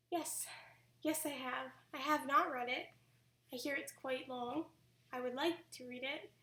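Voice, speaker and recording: Using a raised, projected voice, a woman speaks at a high pitch and a fairly slow pace, with long, frequent pauses and fairly even intonation. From Canada. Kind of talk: live-stream Q&A. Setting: live stream at home.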